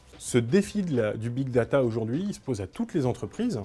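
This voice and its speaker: A man at medium pitch, lively in intonation and fairly quick in pace, with music in the background. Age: 30s. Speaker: blogger and communications agency director. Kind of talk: conference talk.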